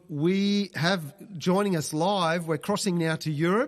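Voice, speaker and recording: He speaks with an Australian accent. The voice belongs to a man. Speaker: webcast host and charity CEO. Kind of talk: live webcast hosting. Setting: live online webcast. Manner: casual, hesitant with fillers.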